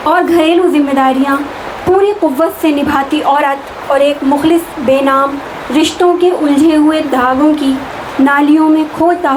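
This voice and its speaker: Noticeable background noise accompanies a woman speaking in a high pitch with fairly even intonation. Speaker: Urdu poet. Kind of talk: poetry reading. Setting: private gathering at a residence.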